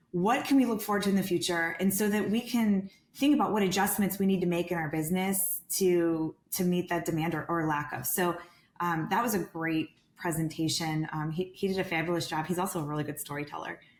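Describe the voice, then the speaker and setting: A woman with a fairly low pitch talks in an ordinary speaking voice. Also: ordinary pitch variation, fairly quick pace. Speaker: real estate sales director. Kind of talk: podcast interview.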